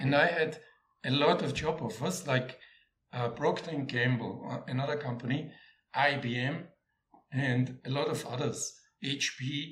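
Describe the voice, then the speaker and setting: At a fairly slow pace, a man with an Austrian accent and a fairly high pitch speaks with fairly even intonation, long and frequent pauses, and audible room echo. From Austria, Vienna. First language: German. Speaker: former corporate sales executive. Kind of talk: interview. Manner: halting, with frequent repetitions.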